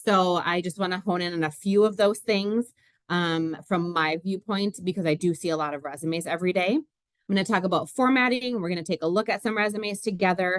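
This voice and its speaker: A woman with a Minnesotan accent, a fairly quick pace and ordinary pitch variation, in a dry, close sound with no echo. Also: medium pitch for a woman. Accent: Minnesota. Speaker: recruiter. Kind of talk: webinar presentation. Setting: video call webinar. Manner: many filler words.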